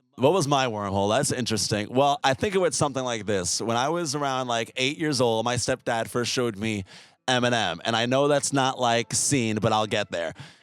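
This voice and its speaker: Fairly quick male speech, music in the background. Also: medium pitch for a man, ordinary pitch variation, hardly any pauses. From US Northeast. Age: 20s. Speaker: musician. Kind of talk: interview answers, casual. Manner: casual, filler-heavy.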